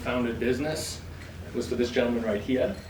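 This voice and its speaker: A man's medium-pitched voice at a very fast pace, with noticeable background noise and audible room echo. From England. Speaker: insurance broker, event sponsor. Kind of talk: sponsor speech at event.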